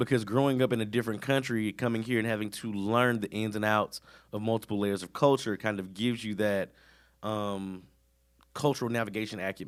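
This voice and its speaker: An animated voice with an American accent moves at a fairly quick pace in a very clean recording with a silent background. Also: man, fairly low pitch for a man. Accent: Southern US, comes out fully when angry. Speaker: podcast co-host. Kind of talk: casual chat.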